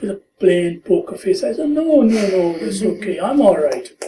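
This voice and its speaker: A man's voice sits high in pitch, with a dark, mellow tone. He speaks at a fairly slow pace with lively intonation. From India and Pakistan. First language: not English. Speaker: retired teacher, immigrant. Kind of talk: life story interview. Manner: hesitant, with many fillers.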